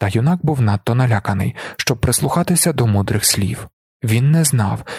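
Someone reads aloud in a natural voice with lively intonation against a quiet background.

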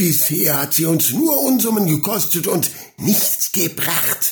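Doing a put-on character voice, a man speaks at a fairly slow pace in a high pitch with big pitch swings and vocal fry.

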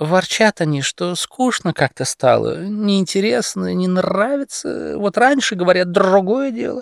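A man puts on a character voice, high-pitched and full of vocal fry, at a fairly slow pace. The recording is very clean with a silent background and a dry, close sound with no echo. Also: lively intonation.

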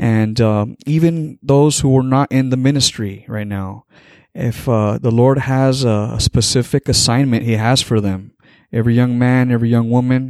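At a moderate pace, a man speaks in a medium pitch with fairly even intonation in a very clean recording with a silent background. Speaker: podcast guest, pastor. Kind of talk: sermon-like.

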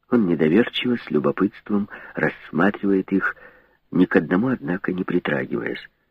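A natural voice, reading aloud

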